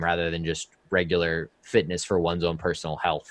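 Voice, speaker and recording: A man with an American accent speaks at a moderate pace in a very deep, low pitch against a quiet background. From Indiana. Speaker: streamer and content creator. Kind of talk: casual chat.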